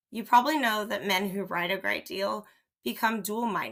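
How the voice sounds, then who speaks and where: A raspy put-on character voice from a woman, medium in pitch with ordinary pitch variation. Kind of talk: period mystery reading. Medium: read story.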